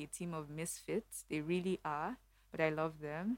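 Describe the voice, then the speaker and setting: A woman with a fairly low pitch at a moderate pace. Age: 30s. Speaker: bank strategy lead. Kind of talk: casual interview chat. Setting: studio. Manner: clear diction.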